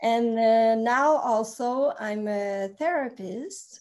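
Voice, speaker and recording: A woman speaks with a slight Quebec accent. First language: French. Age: 40s. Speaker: therapist. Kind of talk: casual chat.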